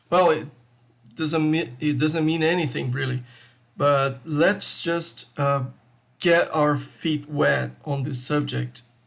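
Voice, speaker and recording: This man talks at a very slow pace. He speaks with a Brazilian accent. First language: Portuguese. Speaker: crypto YouTuber, IT tech lead. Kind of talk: video essay with slides. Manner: casual, hesitant with fillers.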